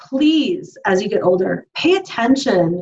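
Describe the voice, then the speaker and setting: A woman is talking. Her voice has a somewhat breathy quality. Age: 40s. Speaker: fitness podcast co-host. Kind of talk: casual chat.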